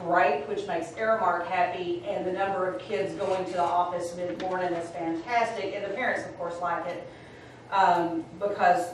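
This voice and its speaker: Light background noise and audible room echo surround a woman whose intonation stays fairly even. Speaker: school administrator reporting to board. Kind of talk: meeting report. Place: meeting room. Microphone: camera far.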